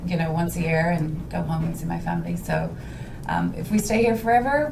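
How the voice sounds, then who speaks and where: A woman with a Dublin accent at a moderate pace, with audible room echo and noticeable background noise. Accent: Irish (Dublin). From Ireland, Dublin. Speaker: home stager, business owner. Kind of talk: casual interview chat.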